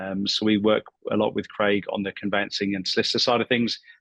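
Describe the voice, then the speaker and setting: A man speaks with a British accent at a fairly low pitch and moderate pace. The sound is dry and close, without any echo. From UK. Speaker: property buyer's agent. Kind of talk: professional webinar presentation.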